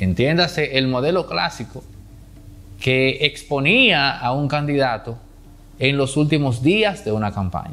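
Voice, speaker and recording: Lively intonation marks the delivery, which unfolds at a fairly slow pace. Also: man. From Dominican Republic. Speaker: political commentator. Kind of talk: political commentary monologue. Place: studio. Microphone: lapel.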